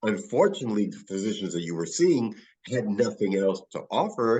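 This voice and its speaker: With a New York accent, a man talks using very wide pitch swings. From New York City, the Bronx. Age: 60s. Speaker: physician running wellness clinics. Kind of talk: podcast interview.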